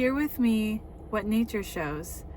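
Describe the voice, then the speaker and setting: A woman with a medium pitch talks very slowly. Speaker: author reading own memoir. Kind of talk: reading aloud; casual chat. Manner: halting.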